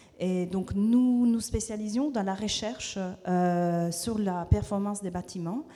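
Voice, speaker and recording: A woman speaks with a non-native accent. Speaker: researcher at a think tank. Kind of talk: panel presentation. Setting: stage with audience. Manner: halting, many hesitations.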